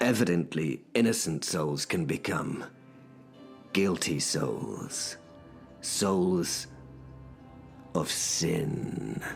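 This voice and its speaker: Putting on a character voice, a man speaks very slowly in a very deep, low, raspy voice with very wide pitch swings and long, frequent pauses, while clear music plays in the background. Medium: audio drama. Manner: formal, gentlemanly.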